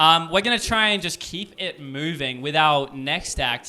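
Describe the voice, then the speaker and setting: A fairly high-pitched man with an Australian accent, ordinary pitch variation and noticeable background noise. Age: 20s. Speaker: MC of amateur comedy night. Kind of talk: emceeing a live comedy event. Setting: stage with audience at a house party. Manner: animated.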